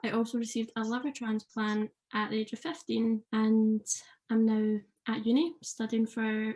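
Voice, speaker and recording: A somewhat breathy voice with a dark, mellow tone at a moderate pace. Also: woman. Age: 20s. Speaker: paramedic student, transplant patient. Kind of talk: podcast interview.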